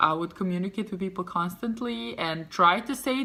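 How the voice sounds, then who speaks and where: Bright and sharp in tone, a woman with a Serbian accent speaks at medium pitch with lively intonation. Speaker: vlogger. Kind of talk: casual storytelling vlog. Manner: animated.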